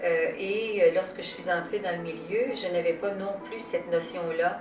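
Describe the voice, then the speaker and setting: A woman at a fairly slow pace with fairly even intonation, amid audible room echo and noticeable background noise. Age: 70s. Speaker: singer, former nurse. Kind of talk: interview testimony. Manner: hesitant, many fillers.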